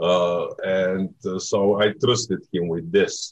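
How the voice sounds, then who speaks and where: A man talks with a Bulgarian accent. His pitch is fairly low, with ordinary variation. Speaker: film director. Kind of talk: interview. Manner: halting.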